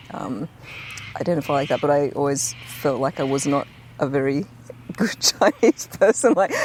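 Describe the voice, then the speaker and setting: A woman speaks with a very deep, low pitch and lively intonation at a moderate pace. Noticeable background noise runs under her voice. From Australia. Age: 40s. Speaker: architect and musician. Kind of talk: casual chat.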